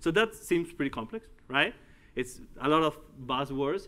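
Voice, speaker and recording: Speaking at a moderate pace, a man with a Uruguayan accent uses very wide pitch swings and a bright, sharp tone. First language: Spanish. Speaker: tech company executive and conference speaker. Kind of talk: tech conference talk. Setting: stage with audience. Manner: halting. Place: hall.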